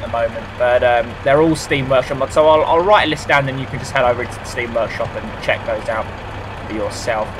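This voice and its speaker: There is noticeable background noise. The speech comes at a fairly quick pace. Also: man. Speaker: gaming YouTuber. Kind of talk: gameplay commentary. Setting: home recording. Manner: rambling, hesitant.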